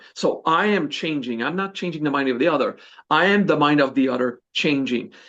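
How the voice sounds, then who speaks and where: A man with a Quebec accent speaks fairly quickly at a fairly high pitch. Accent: Québécois French accent in English. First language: French. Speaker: spiritual teacher. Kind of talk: podcast interview. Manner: hesitant, searches for English words.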